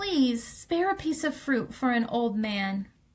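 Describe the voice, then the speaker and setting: A woman's put-on character voice, high and creaky, at a fairly slow pace, with very wide pitch swings and very even loudness. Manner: pleading.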